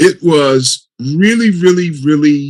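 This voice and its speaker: At a fairly high pitch, a man speaks in a normal speaking voice with lively intonation. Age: 60s. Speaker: panelist on mental health. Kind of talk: panel discussion.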